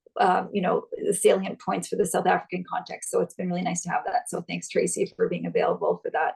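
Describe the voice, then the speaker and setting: A woman speaks at a fairly quick pace, with a dry, close sound and no echo. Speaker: gender equality consultant. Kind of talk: conference presentation. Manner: fast.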